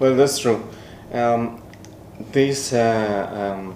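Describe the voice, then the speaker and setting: With fairly even intonation, a man talks at a medium pitch as audible room echo rings around him. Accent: Spanish. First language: Spanish. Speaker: podcast co-host. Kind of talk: casual chat. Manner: halting.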